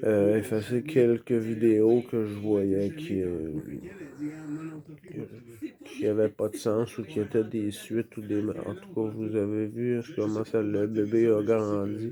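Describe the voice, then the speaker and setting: A man with a Quebec accent and a fairly low voice, very slow pace, noticeable background noise. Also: ordinary pitch variation. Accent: Québécois French. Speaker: vlogger. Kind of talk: casual vlog monologue. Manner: loud; halting, many hesitations.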